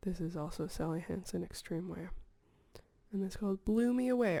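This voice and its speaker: The voice is soft-spoken with a calm tone. The pace is moderate. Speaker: ASMR video creator. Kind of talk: ASMR soft spoken talk to camera. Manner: soft-spoken, calm.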